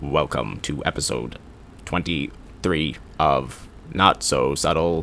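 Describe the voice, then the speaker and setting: A man puts on a character voice, very deep and low in pitch, at a fairly slow pace. Background noise is clearly audible. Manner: mechanical, robotic.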